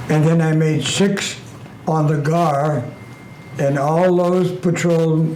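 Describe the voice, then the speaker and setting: A man speaks in a fairly high voice with ordinary pitch variation. Audible room echo and noticeable background noise surround him. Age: 90s. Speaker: World War II submarine veteran. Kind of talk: testimony.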